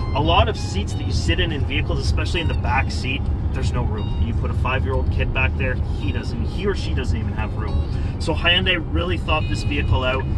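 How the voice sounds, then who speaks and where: A man talks at a fairly quick pace. The sound is dry with no echo, and clear music plays in the background. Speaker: car salesperson. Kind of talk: product walkaround commentary. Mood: upbeat, joking. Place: car.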